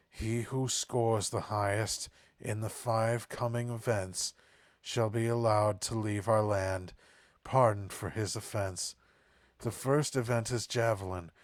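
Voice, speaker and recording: Using a put-on character voice, a man speaks at a fairly slow pace and medium pitch on a very clean recording with a silent background. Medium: game stream. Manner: regal, formal.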